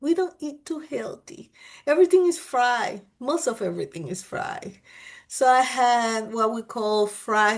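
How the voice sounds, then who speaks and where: A woman with a Panamanian accent speaks at a fairly slow pace against a quiet background. Her pitch is high and swings very widely. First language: Spanish. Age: old. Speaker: vlogger. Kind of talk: casual chat. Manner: animated.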